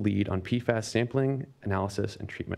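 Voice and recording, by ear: A man speaks fast at a fairly low pitch. Vocal fry runs through his voice. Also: slightly mellow tone.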